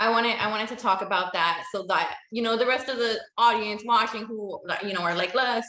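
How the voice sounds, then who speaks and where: A woman with an American accent and an ordinary speaking voice talks at a fairly quick pace with hardly any pauses, her fairly high pitch kept to a fairly even intonation. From United States, Latin American background. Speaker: interviewer. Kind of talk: interview.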